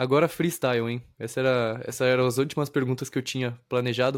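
On a very clean recording with a silent background, a man talks at a fairly quick pace at medium pitch, in a plain, everyday voice. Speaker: podcast host. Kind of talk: casual interview chat.

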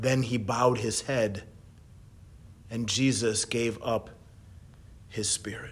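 Very slow and somewhat breathy, a man's medium-pitched voice carries a gentle tone, with monotone, flat intonation and long, frequent pauses. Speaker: worship leader. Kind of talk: Good Friday meditation and prayer, read aloud. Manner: slow, hushed and reverent, fervent; gentle, measured, with long pauses.

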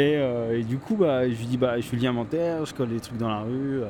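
Noticeable background noise sits behind a man speaking at medium pitch and a moderate pace, with ordinary pitch variation. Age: 30s. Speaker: street artist. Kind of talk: personal storytelling. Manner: halting, many fillers and repetitions.

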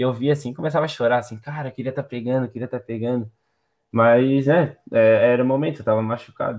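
Very fast male speech with fairly even intonation. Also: medium pitch for a man. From Santa Catarina, Brazil (Palmas, near Florianópolis). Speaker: surfer. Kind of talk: casual chat.

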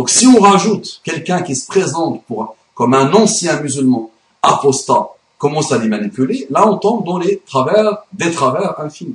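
With an Arabic accent, a man speaks at a fairly slow pace in a high voice that makes very wide pitch swings. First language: Arabic (speaking French). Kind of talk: video monologue / religious rebuttal.

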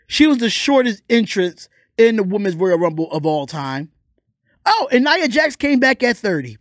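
Recorded very cleanly with a dry, close sound, no echo and a silent background, a man speaks in an animated tone at a high pitch, fairly slowly, with very wide pitch swings. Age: 30s. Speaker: sports and entertainment podcast host. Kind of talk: casual solo podcast commentary.

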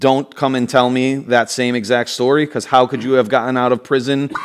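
An animated man at a medium pitch and moderate pace, with noticeable background noise. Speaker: podcast co-host. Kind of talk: casual chat.

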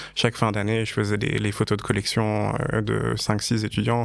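A man at a fairly slow pace. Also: quiet background. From French-speaking Switzerland, canton of Vaud. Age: 30s. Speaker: fashion photographer. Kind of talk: interview conversation.

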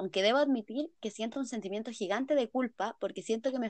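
A plain, everyday voice from a woman, fairly high in pitch, with lively intonation at a fairly quick pace. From Chile, San Felipe. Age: 20s. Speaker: podcast co-host, psychology student. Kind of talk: casual chat.

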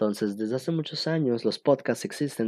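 A man speaks at a fairly quick pace with ordinary pitch variation, in an ordinary speaking voice. The sound is dry and close, with no echo. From Mexico (born State of Mexico, raised partly in Cancún and Costa Rica). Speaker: podcast host. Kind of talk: solo casual monologue. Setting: at home.

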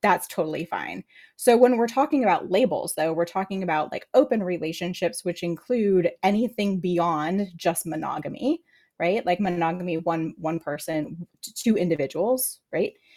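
An American-accented woman with a dark, mellow tone, ordinary pitch variation and a moderate pace, on a very clean recording with a silent background. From US military family. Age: 40s. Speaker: licensed therapist. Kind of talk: casual chat.

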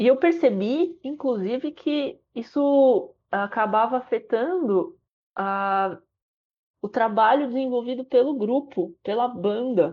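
A woman with a high pitch and lively intonation, at a very slow pace. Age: 30s. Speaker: trumpeter, conductor and music educator. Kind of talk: casual chat.

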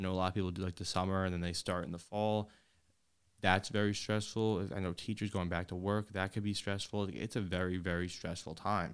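A man's very deep, low voice, flat and monotone at a fairly quick pace, on a very clean recording with a silent background. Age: 20s. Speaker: podcast host. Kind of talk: casual chat.

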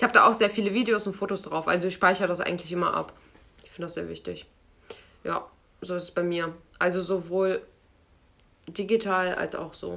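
A woman's bright, sharp voice carries vocal fry and fairly even intonation at a fairly quick pace. Her loudness swings widely, and long pauses come often. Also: medium pitch for a woman. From Germany, Lower Rhine (Krefeld). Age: 20s. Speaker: podcast co-host, project manager. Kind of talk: casual chat.

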